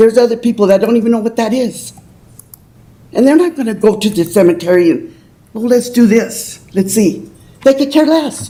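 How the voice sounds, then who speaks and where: A somewhat breathy woman, fairly high in pitch, with lively intonation at a moderate pace. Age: 80s+. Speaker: public commenter. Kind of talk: public comment at council meeting. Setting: city council meeting. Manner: halting.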